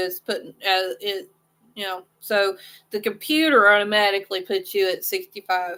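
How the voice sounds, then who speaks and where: A woman at medium pitch with a Southern US accent, bright and sharp in tone, with ordinary pitch variation on a very clean recording with a silent background. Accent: southern drawl. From US Midwest, southwest Missouri. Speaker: crochet channel host. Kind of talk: casual chat.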